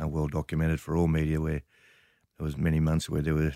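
Recorded very cleanly against a silent background, a man with an Australian accent speaks in a very deep, low pitch. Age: 60s. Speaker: media company chief executive. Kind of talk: interview.

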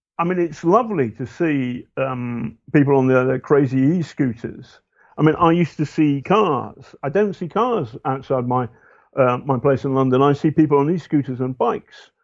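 In a British accent, a man speaks at a fairly high pitch. His pitch varies in an ordinary way. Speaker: investigative journalist. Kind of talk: interview conversation. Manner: halting.

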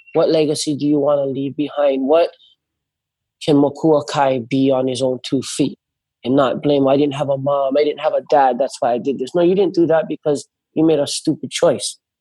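Talking at a fairly quick pace in a Hawaiian accent, the voice carries a dark, mellow tone and fairly even intonation. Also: man. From Hawaii, North Shore of Oahu. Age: 30s. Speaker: big wave surfer. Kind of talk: casual chat.

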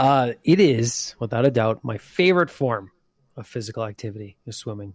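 Big swings in loudness and lively intonation mark a normal speaking voice. It moves at a moderate pace. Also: man. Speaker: podcast co-host. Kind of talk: casual chat.

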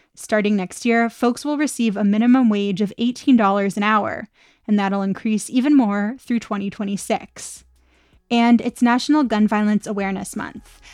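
A woman speaks fairly slowly in a fairly high voice with fairly even intonation. Hers is an unremarkable speaking voice. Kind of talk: news reading.

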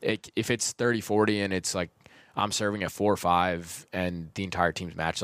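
A man in an American accent at a very fast pace, with fairly even intonation, on a very clean recording with a silent background. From Rhode Island, US. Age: 20s. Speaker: former college tennis player. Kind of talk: casual interview chat. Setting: studio. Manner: articulate.

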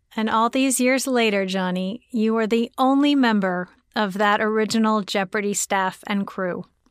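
In a plain, everyday voice, a woman speaks at a fairly high pitch and moderate pace on a very clean recording with a silent background. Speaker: podcast host. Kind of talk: casual chat and interview. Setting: studio.

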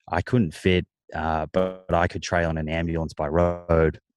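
Speaking at a moderate pace in an Australian accent, a man with a very deep, low voice sounds dry and close with no echo over a quiet background. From Australia, Melbourne. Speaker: nutritionist and author. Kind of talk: casual interview chat.

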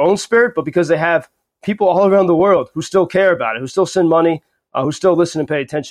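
Talking at a very fast pace, a man with an American accent has a high pitch and ordinary pitch variation. The background is quiet, and the sound is dry and close with no echo. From United States. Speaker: journalist. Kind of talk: interview. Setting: remote call.

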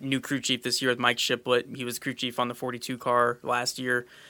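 A man speaks with an American accent at medium pitch, fairly quickly, in a bright, sharp tone. His intonation is monotone and flat, and the recording is very clean with a silent background. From California. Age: 20s. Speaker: racing driver. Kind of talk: casual interview.

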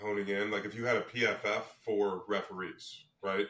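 The speaker is a man with a fairly low pitch. Noticeable background noise can be heard. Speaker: podcast co-host. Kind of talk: casual sports podcast.

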